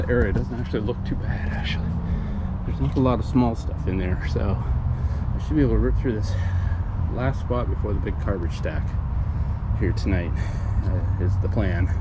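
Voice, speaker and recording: Loud background noise sits under speech delivered at a moderate speed. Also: man. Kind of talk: casual vlog chat. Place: forest. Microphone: phone near.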